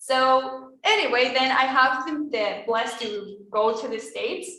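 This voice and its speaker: With a Spanish accent, a woman speaks at a fairly high pitch amid audible room echo. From Venezuela. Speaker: former exchange student. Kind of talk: testimony. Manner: casual, hesitant.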